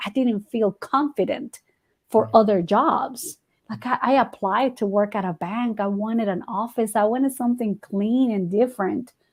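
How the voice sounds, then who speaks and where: At a moderate pace, a woman with a Spanish accent talks in a somewhat breathy voice with a fairly high pitch. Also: ordinary pitch variation. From Guatemala. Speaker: ESL teacher. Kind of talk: interview answer.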